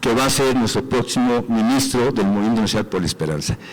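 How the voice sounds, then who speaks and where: Noticeable background noise fills the clip. Through it, a man's voice is heard. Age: 60s. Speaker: sports representative of a political movement. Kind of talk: assembly report.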